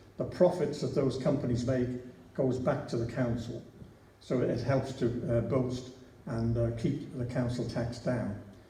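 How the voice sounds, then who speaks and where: In a Liverpool accent, a man speaks at a fairly slow pace with medium pitch and fairly even intonation. Room echo is audible. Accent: Liverpool (Scouse). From Liverpool, England. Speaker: local council candidate. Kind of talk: election hustings speech. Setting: church hall with audience. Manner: halting.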